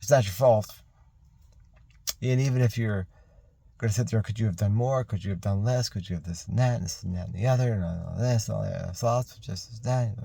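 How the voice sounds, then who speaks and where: A man mumbles at a fairly quick pace in a fairly low pitch, his tone dark, mellow and somewhat breathy. His pitch varies in an ordinary way, broken by long, frequent pauses. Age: 50s. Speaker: military veteran. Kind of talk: personal video message monologue. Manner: mumbling; rambling, halting.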